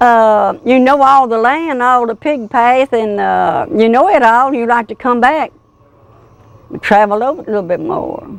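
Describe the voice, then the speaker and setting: Her American accent comes through at a fairly slow pace. This woman has a high pitch with ordinary pitch variation. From US South, Tennessee (Wilson County). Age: 70s. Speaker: local elder, oral history interviewee. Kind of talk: oral history interview.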